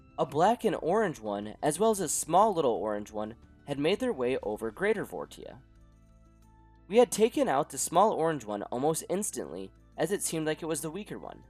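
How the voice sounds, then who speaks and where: Music plays behind a man whose fairly high voice makes very wide pitch swings. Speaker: gaming YouTuber. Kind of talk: gameplay narration.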